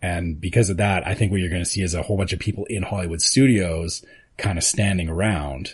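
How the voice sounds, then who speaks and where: This voice is somewhat breathy, with a Canadian accent. The intonation stays fairly even at a moderate pace. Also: man. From Canada. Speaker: podcast co-host. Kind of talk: casual chat. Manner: announcer-style inflections.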